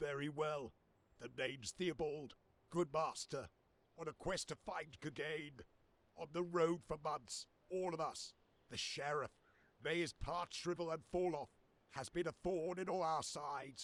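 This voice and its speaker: Using a put-on character voice, a man sounds raspy and fairly high-pitched. He keeps a moderate pace and fairly even intonation, with long, frequent pauses. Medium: video game. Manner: earnest, weary.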